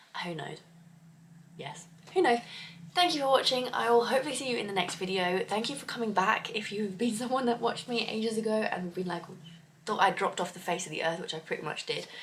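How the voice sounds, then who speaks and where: Against noticeable background noise, a woman speaks very fast at a fairly high pitch, with lively intonation and big swings in loudness. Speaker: book vlogger. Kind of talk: casual vlog.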